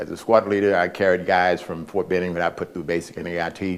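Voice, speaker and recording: A man speaks in a very deep, low voice with an American accent. His pace is fairly quick. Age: 70s. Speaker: war veteran. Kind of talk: testimony. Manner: halting.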